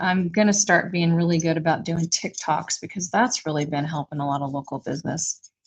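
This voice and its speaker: Her voice sits fairly low and comes out somewhat breathy, with ordinary pitch variation. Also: hardly any pauses. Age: 60s. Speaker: small business owner and furniture refinisher. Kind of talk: casual livestream chat.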